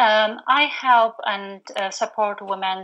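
A woman with a Polish accent and fairly even intonation. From Poland. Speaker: postnatal doula and business coach. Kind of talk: casual interview chat. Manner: halting, frequent fillers.

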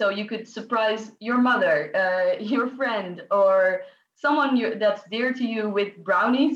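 A woman speaks with a Dutch accent. Her fairly high voice moves at a very slow pace. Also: ordinary pitch variation. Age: 20s. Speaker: student. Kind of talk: interview.

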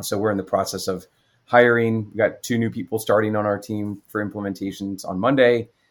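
The man's voice sits fairly low and stays monotone and flat. The recording is very clean, with a silent background. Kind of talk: interview.

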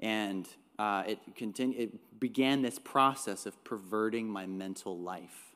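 An unremarkable speaking voice with a Canadian accent, ordinary pitch variation, a fairly slow pace, and a very clean recording with a silent background. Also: man, fairly low pitch for a man. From Northern Ontario, Canada. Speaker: pastor. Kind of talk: sermon.

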